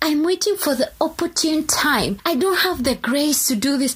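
A woman with a high-pitched voice speaks in an animated tone with lively intonation over noticeable background noise. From Kenya. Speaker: podcast host.

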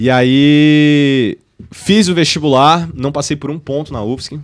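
A man with a normal speaking voice and ordinary pitch variation. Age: 20s. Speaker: university student and entrepreneur. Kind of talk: casual chat.

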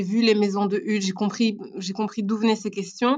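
A woman speaks in a flat, monotone way. The recording is very clean, with total silence behind her. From Belgium (Brussels and Tournai). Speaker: podcast guest. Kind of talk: casual interview. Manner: halting, many repetitions.

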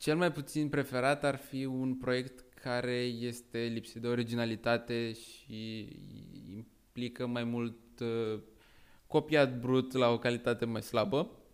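The intonation here is fairly even. A man talks at a very slow pace. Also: medium pitch for a man. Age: 20s. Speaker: tech startup co-founder, student. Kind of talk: casual chat.

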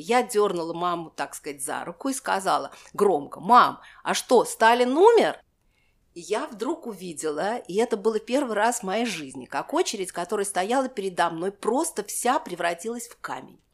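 Moving at a moderate pace, a woman speaks with very wide pitch swings and big swings in loudness. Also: medium pitch for a woman. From Moscow, Russia. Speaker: historian. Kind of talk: personal memoir interview.

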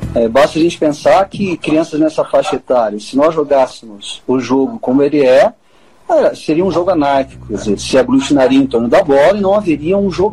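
A man's fairly high voice, with lively intonation, a fairly quick pace and noticeable background noise. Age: 40s. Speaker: sports pedagogy professor. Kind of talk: interview. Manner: halting.

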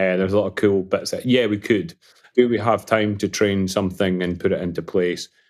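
A man speaks with a Scottish accent. His pitch is fairly low. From Scotland (Falkirk). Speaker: property tech founder. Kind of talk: interview.

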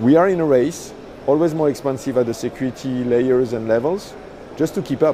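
A man at a medium pitch and a fairly quick pace, with ordinary pitch variation and noticeable background noise. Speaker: startup founder. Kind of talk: interview answers.

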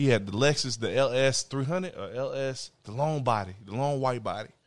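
An ordinary speaking voice, a man talks fairly quickly at a medium pitch, his loudness swinging widely. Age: 20s. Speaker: podcast co-host, small business owner. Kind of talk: casual chat.

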